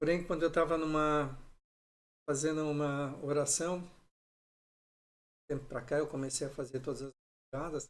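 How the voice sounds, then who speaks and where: A man talks at a fairly high pitch in a monotone, flat way. He keeps a moderate pace with long, frequent pauses. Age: 60s. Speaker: pastor. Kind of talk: sermon. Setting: livestream.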